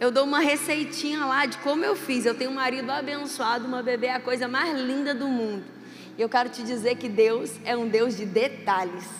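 This woman has a high pitch and ordinary pitch variation, speaking at a moderate pace. Noticeable background noise and audible room echo are present. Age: 40s. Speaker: pastor. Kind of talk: sermon. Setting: church. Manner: animated.

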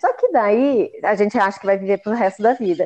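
Talking at a fairly quick pace, a woman with a fairly high pitch and a dark, mellow tone shows ordinary pitch variation. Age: 40s. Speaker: chef and sweets business owner. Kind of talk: casual interview chat. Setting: remote recording in separate rooms.

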